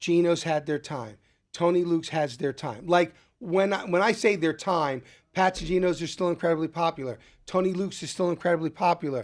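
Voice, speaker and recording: With a Philadelphia accent, a man speaks at a fairly quick pace in a high voice with ordinary pitch variation. The background is quiet. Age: 60s. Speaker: restaurant owner and chef. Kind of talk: casual interview. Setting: studio.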